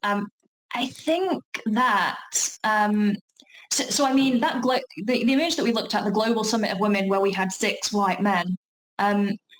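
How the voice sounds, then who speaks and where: At a moderate pace broken by long, frequent pauses, a woman speaks at a fairly high pitch with ordinary variation and very even loudness. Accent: strong South Yorkshire. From South Yorkshire, England. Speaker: talk presenter on workplace inclusion. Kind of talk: online talk Q&A. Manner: hesitant, many fillers and restarts.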